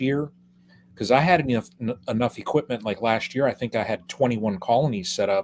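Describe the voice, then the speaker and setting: Here is a man with a normal speaking voice. His pitch is medium, with ordinary pitch variation. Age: 50s. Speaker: beekeeper. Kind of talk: casual chat.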